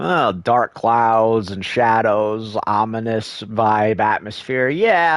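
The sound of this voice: The intonation stays fairly even throughout this unforced reading voice.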